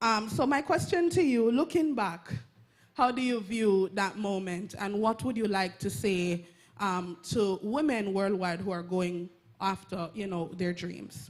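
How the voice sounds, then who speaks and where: A woman with a Jamaican accent talks at a fairly slow pace with lively intonation. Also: medium pitch for a woman. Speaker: audience member asking a question. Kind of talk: audience question at a public talk.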